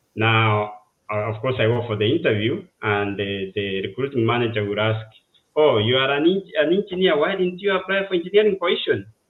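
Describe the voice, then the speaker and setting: Someone with a Kenyan accent talks at a fairly quick pace, the pitch swinging very widely. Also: man, medium pitch for a man. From Kenya, village in western Kenya. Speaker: civil engineer. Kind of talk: interview, life story. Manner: halting, many fillers.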